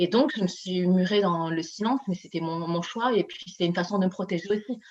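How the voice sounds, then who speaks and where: Here a woman speaks at a fairly quick pace. Her pitch varies in an ordinary way. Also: medium pitch for a woman. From Paris, France (Chinese heritage). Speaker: author and coach. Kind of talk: interview. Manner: halting.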